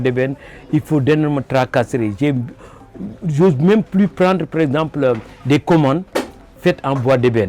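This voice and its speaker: A man's voice with ordinary pitch variation. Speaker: wood sculptor. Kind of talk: interview. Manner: halting.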